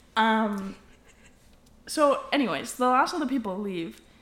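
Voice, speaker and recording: The pace of this woman's speech is fairly slow. An echo from the room can be heard. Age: 20s. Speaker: podcast co-host. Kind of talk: casual chat.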